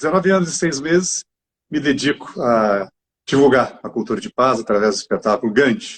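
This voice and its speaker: A man is speaking. His pitch swings very widely. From Brazil, southern Minas Gerais. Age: 60s. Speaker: actor. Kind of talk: interview.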